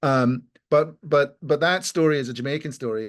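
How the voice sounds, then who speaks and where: Against a quiet background, a man with a Scottish accent talks at a fairly slow pace in a medium pitch. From Scotland. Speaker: lawyer. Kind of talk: panel discussion. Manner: halting.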